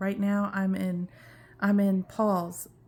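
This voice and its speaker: A woman's medium-pitched voice with a dark, mellow tone, on a very clean recording with a silent background. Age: 50s. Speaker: cancer patient vlogger. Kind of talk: personal vlog update. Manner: halting.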